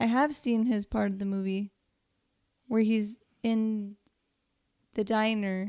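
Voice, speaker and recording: A quiet woman speaks at a very slow pace with long, frequent pauses. Her fairly high pitch has a dark, mellow tone, heard in a dry, close sound with no echo. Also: fairly even intonation. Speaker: podcast co-host. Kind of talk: casual chat.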